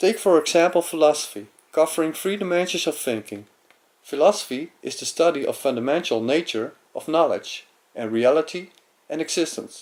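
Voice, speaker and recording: Speaking with a Dutch accent, a man uses lively intonation and a fairly high pitch at a fairly quick pace. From Netherlands. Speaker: amateur philosopher. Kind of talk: lecture. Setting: webcam recording. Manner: halting.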